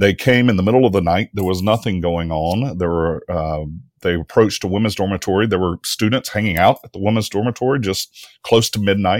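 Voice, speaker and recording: Speaking fairly quickly with hardly any pauses, a man with a fairly low voice and a Mississippi accent comes through dry and close, with no echo, on a very clean recording with a silent background. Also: ordinary pitch variation. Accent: US Southern (Mississippi). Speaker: history professor. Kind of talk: interview.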